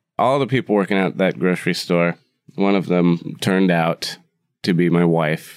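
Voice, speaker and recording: At a moderate pace, a man with a very deep, low pitch speaks with ordinary pitch variation and very even loudness. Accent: Upper Midwest. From US Midwest, Wisconsin. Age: 30s. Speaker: bar owner and cook. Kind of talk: casual interview chat. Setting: room above his bar.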